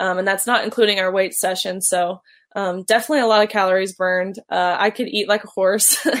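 In a very clean recording with a silent background, a woman with an unremarkable speaking voice talks at a fairly quick pace, her medium pitch kept fairly even in intonation. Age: 20s. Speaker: college swimmer. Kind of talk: interview.

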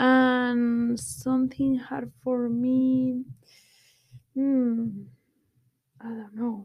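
A woman with a Spanish accent speaks at a very slow pace with long, frequent pauses. Her high-pitched voice has monotone, flat intonation. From Spain, Guadalajara. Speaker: guest, Spanish expat. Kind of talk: casual interview. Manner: halting.

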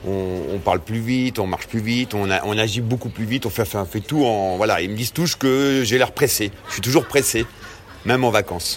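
A man talks at a fairly quick pace and medium pitch, with ordinary pitch variation. Noticeable background noise runs underneath. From Normandy (Perche). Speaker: cheesemonger, market trader. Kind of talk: interview testimony. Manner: halting, many repetitions and hesitations.

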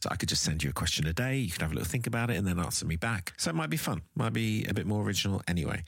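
Vocal fry runs through this very fast speech, which has very wide pitch swings. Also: man. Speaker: podcast host. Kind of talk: casual interview chat. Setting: studio and voice notes.

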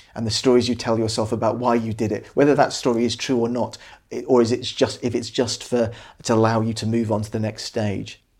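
At a fairly quick pace, a man with a medium pitch talks in a monotone, flat intonation. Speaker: podcast co-host and doctor. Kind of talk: casual interview conversation.

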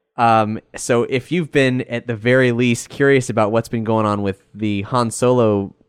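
A man with a normal speaking voice talks at a medium pitch and a moderate pace, with fairly even intonation. The sound is dry and close with no echo, on a very clean recording with a silent background. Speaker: podcast host and network runner. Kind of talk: casual chat.

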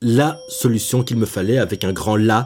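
Speaking very slowly, a man has a dark, mellow tone. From Belgium, Brussels. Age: 20s. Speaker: young jobseeker telling his life story. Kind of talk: personal testimony. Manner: hesitant, repeats words.

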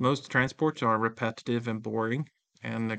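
A man with a Swedish accent talks at a fairly quick pace in a bright, sharp tone. The background is quiet. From rural Sweden. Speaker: tech company founder and CEO. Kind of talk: interview. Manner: halting.

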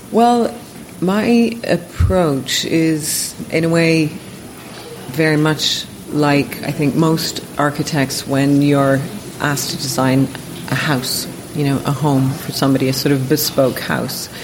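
A woman speaks at a very slow pace in a very deep, low voice, with ordinary pitch variation and long, frequent pauses. Noticeable background noise and audible room echo fill the recording. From Ontario, Canada. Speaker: architect. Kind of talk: interview conversation. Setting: architecture office.

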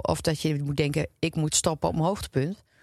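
Speaking at a moderate pace, a woman with a very deep, low pitch and vocal fry sounds dry and close with no echo over a quiet background. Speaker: podcast co-host. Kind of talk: casual chat.

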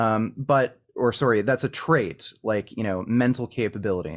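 In a very clean recording over a silent background, an unremarkable speaking voice keeps a moderate pace and ordinary pitch variation. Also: man. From Canada. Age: 30s. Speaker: vegan activist and online content creator. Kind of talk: heated debate.

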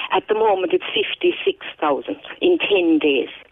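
A woman speaks with a Kerry Irish accent. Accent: Kerry Irish, kept. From Ireland, County Kerry. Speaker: English teacher. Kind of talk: phone interview. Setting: phone call.

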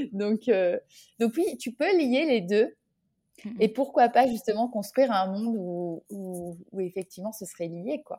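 A fairly slow delivery in a dark, mellow tone, with big swings in loudness. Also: woman, fairly high pitch for a woman. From France (Orléans). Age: 30s. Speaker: association founder, entrepreneur. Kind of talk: casual interview chat. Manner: hesitant, with frequent repetitions.

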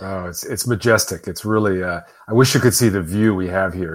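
Fairly even intonation at a fairly quick pace in a Midwestern American accent, on a very clean recording with a silent background. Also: man. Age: 50s. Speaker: author and entrepreneur. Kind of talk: casual chat.

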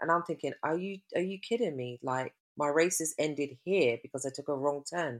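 In a London accent, a woman speaks at a moderate pace with a very deep, low pitch. The recording is very clean with a silent background and a dry, close sound with no echo. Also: ordinary pitch variation. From West London. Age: 50s. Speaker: triathlete and cyclist. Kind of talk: casual interview chat.

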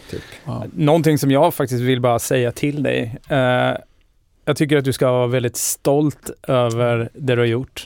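A man with a normal speaking voice, medium pitch, fairly even intonation, and a moderate pace, in a dry, close sound with no echo. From Sweden, Linköping. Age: 40s. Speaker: podcast host. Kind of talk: casual chat.

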